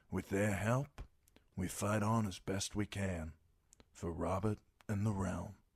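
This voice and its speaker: A man puts on a character voice, speaking at a fairly slow pace in a fairly low pitch, with long, frequent pauses. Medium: read story. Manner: solemn, measured.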